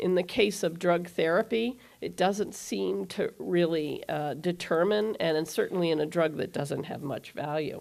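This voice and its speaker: Vocal fry runs through a woman's fairly slow speech, with ordinary pitch variation, in a very clean recording with a silent background. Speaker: cardiologist speaker at medical conference. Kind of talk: conference lecture.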